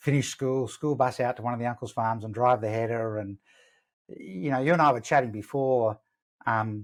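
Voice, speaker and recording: In a very clean recording with a silent background, a man with an Australian accent talks at a fairly quick pace in a medium pitch, with ordinary pitch variation. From Western Australia. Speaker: sales coach. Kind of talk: interview.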